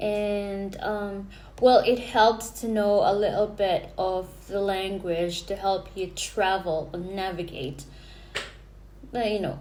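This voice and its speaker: With audible room echo, a woman in a Filipino accent speaks very slowly at a medium pitch. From Philippines. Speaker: vlogger. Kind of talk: casual vlog talk to camera. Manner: hesitant, many fillers and restarts.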